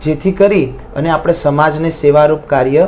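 Ordinary pitch variation marks a man's fairly high voice, heard through noticeable background noise. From Visnagar, Mehsana, north Gujarat. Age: 20s. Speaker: singer. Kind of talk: interview.

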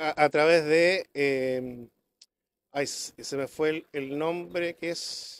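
Light background noise accompanies a man with a fairly high pitch. He talks at a very slow pace with fairly even intonation. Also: dry sound with no echo. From Chile, rural Melipilla; Chile. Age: 60s. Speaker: businessman and council candidate; council candidate. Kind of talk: political debate. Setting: café with live audience. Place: cafe. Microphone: handheld.

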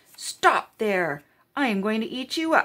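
A female-sounding voice performs a put-on character voice at a fairly high pitch. It moves at a fairly slow pace with very wide pitch swings. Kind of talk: children's story narration. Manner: cranky, menacing.

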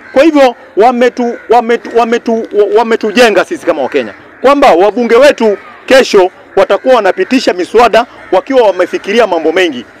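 Lively intonation and a fairly quick pace come from a man, recorded with a dry sound with no echo and light background noise. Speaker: speaker. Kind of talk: political speech in open-air forum. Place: open country. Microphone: handheld.

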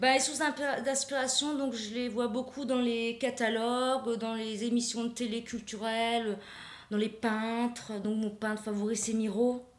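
Audible room echo surrounds a fairly slow delivery with monotone, flat intonation. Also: woman, fairly high pitch for a woman. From Alsace. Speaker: painter; guest. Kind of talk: interview. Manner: halting. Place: studio.

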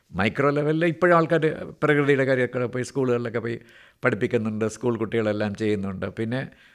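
Medium in pitch, a man uses a plain, everyday voice with ordinary pitch variation. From Kerala, Thiruvananthapuram. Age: 60s. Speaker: retired senior civil servant. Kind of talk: radio interview.

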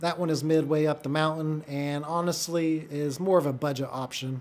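Speaking at a moderate pace, a man with a fairly high pitch keeps a monotone, flat intonation. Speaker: real estate agent and video creator. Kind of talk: casual vlog narration. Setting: outdoors at a ski resort. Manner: rambling, informal.

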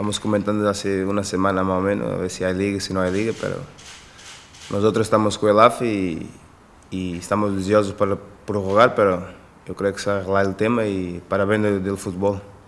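A man's fairly low, monotone voice with flat intonation at a fairly quick pace. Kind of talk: press conference answer. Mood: calm, relaxed. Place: meeting room. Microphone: podium.

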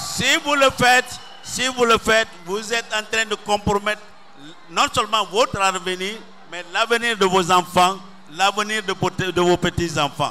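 In a raised, projected voice, a man speaks at a fairly slow pace with ordinary pitch variation and long, frequent pauses over light background noise. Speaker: speaker. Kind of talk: campaign speech. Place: stadium. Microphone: handheld.

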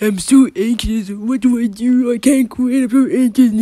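This is a cartoonish character voice with a fairly high pitch. It sounds whiny. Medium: puppet show. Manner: anxious, whiny.

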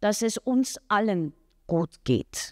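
A woman is speaking with ordinary pitch variation. The background is quiet. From Austria. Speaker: actress. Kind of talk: press interview. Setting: café press event. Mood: calm, reflective. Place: hall. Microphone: handheld.

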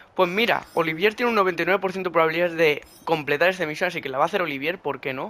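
At a fast pace, a man speaks with a bright, sharp tone and ordinary pitch variation.

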